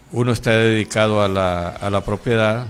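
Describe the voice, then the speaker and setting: A man's voice with fairly even intonation. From Honduras. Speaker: pastor. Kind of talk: interview. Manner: halting.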